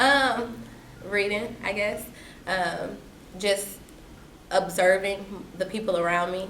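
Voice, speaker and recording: Amid noticeable background noise, a woman with an American accent speaks at a very slow pace and medium pitch, with fairly even intonation and long, frequent pauses. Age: young. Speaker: activist, educator. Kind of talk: interview answer.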